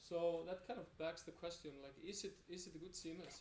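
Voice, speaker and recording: A man with an Icelandic accent speaks at a high pitch and a fairly quick pace. His intonation is fairly even, and audible room echo surrounds it. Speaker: web developer. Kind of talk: conference talk. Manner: halting, many fillers and repetitions.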